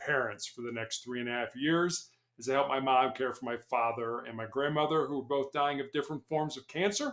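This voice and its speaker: This man's pitch sits fairly high. He talks at a very fast pace with fairly even intonation. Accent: American. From Chicago and Columbus, Ohio. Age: 60s. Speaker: former police hostage negotiator, motivational speaker. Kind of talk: podcast interview. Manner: halting, repeats words.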